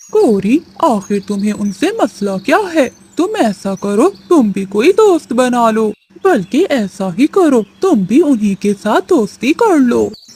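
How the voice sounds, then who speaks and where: A cartoonish character voice sounds female, with a fairly high pitch. It moves at a fairly slow pace. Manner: tired, reasonable.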